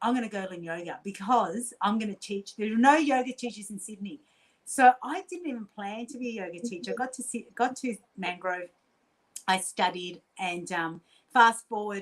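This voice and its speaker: An animated woman with an Australian accent and a fairly high pitch. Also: ordinary pitch variation, big swings in loudness. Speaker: quantum healer and coach. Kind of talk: casual interview storytelling. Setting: podcast interview. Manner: fast.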